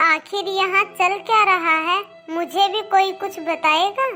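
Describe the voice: A woman's cartoonish character voice at a fairly slow pace, with clear music in the background.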